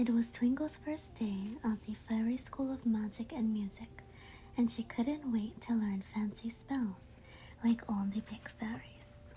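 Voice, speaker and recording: The voice is soft-spoken at a fairly slow pace. Noticeable background noise runs underneath. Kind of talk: read story; ASMR bedtime story.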